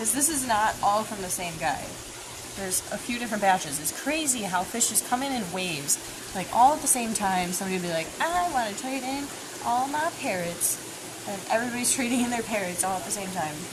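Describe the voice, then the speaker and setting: In an animated tone, a woman with a fairly high pitch speaks at a fairly quick pace with very wide pitch swings, amid noticeable background noise and audible room echo. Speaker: fish store staff hosting live stream. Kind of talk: live stream store tour. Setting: aquarium store, live stream.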